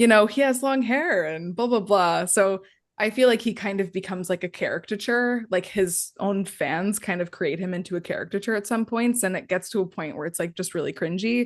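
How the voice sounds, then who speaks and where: A woman with an unremarkable speaking voice talks at a fairly quick pace and medium pitch, with ordinary pitch variation, hardly any pauses and a quiet background. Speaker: podcast co-host. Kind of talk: casual chat.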